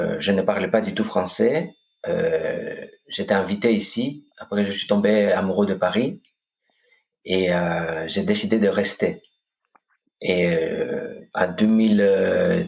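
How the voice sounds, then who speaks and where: The man talks very slowly, stopping often and for long stretches. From Greece, Corfu. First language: Greek (speaking French). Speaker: coach and hypnotherapist. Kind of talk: podcast interview. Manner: hesitant, many fillers.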